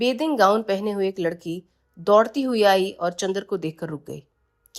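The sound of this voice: An unforced reading voice comes over a quiet background.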